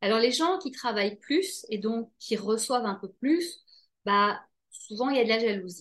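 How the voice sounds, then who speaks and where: In a normal speaking voice, a woman talks at a fairly slow pace with a fairly high pitch and lively intonation. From Belgium. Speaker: author. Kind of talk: interview.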